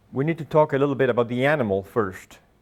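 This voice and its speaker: A man with a Spanish accent talks at a fairly quick pace. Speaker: agronomist and grazing instructor; guest. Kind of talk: lecture. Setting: classroom with live audience. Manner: halting, many fillers. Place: meeting room. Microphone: lapel.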